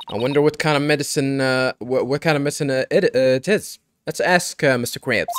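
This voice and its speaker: Fairly quick speech from a man with an American accent, fairly high in pitch, in a dry, close sound with no echo. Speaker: let's play gamer. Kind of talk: reading game dialogue aloud with commentary. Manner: halting, frequent fillers and repetitions.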